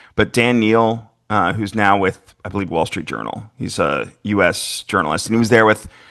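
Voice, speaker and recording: Speaking with an American accent and hardly any pauses, a man uses a fairly low pitch with vocal fry and ordinary pitch variation. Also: moderate pace. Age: 50s. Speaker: podcast host, motorsport journalist. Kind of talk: casual chat.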